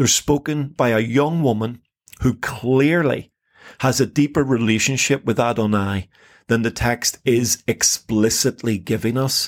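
A man with a Northern Irish accent uses ordinary pitch variation on a very clean recording with a silent background. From Northern Ireland. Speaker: Bible podcast co-host. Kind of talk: casual chat.

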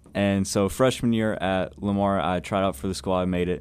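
A man with an American accent speaks in a very deep, low voice. His pace is moderate and his pitch varies in an ordinary way. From Southeast Texas (Buna). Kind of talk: interview. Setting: studio.

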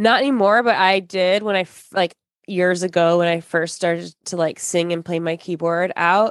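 This woman has an unremarkable speaking voice with an American accent and fairly low pitch. She talks at a moderate pace with fairly even intonation. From Michigan. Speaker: podcast host. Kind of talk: casual chat.

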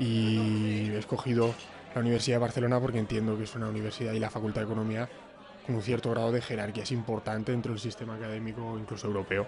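Over crowd noise and audible room echo, a man speaks very fast at a medium pitch in a monotone, flat intonation. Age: 20s. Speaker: master's student. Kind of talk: casual panel discussion.

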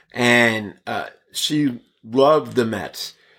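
Over a silent background in a very clean recording, a man with an American accent talks in a plain, everyday voice at medium pitch with ordinary pitch variation. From Brooklyn, New York (Bensonhurst), then Bay Area from age nine. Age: 50s. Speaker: actor and stand-up comedian. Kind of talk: casual interview.

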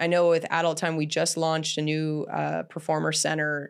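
This speaker has a Canadian accent and talks at a moderate pace. The recording is very clean, with a silent background. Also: woman. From Canada. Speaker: podcast host and adult film director. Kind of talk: casual interview chat. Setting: studio set.

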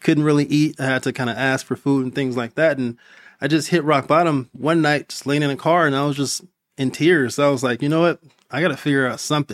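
With an American accent, a man speaks in a normal speaking voice at a fairly high pitch and fairly quick pace, his intonation fairly even, on a very clean recording with a silent background. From Compton, California. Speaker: physician and entrepreneur. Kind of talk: casual interview.

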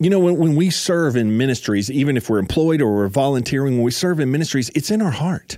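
An unremarkable speaking voice from a man, medium in pitch, fairly quick, with lively intonation. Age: 40s. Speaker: podcast host and ministry staff member. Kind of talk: solo motivational talk on ministry leadership. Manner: conversational, repetitive with verbal restarts.

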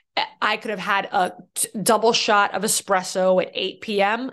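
With an American accent, this speaker talks at a moderate pace. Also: woman. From Boston, US. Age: 30s. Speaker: fitness instructor and podcast host. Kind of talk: solo podcast monologue. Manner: casual, laughing.

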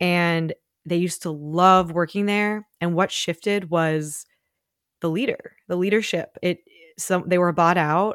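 A woman with an unremarkable speaking voice talks at a fairly slow pace, her fairly low pitch held to fairly even intonation, in a dry, close sound with no echo. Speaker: real estate brokerage co-founder and podcast co-host. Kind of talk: casual chat.

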